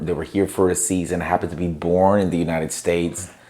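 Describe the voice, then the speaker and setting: The man's pitch is very deep and low, with a dark, mellow tone. His intonation stays monotone and flat. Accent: Spanish. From Mexico, Tijuana. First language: Spanish. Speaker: pastor. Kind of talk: interview.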